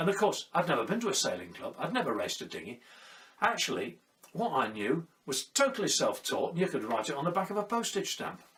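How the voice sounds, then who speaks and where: Noticeable background noise runs behind a man talking at a very fast pace. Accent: southern British. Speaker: sailor and storyteller. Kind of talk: personal storytelling monologue. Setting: at home during lockdown.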